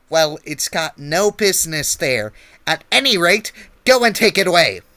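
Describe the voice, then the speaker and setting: Using a put-on character voice with a high pitch, a man speaks at a moderate pace in a very clean recording with a silent background. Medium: read story. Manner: bossy, irritable.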